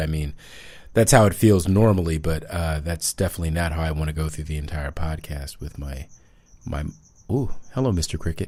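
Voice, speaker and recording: Over a silent background in a very clean recording, a man with a very deep, low pitch and a dark, mellow tone talks at a fairly quick pace. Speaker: podcast host. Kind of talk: casual chat. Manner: loud.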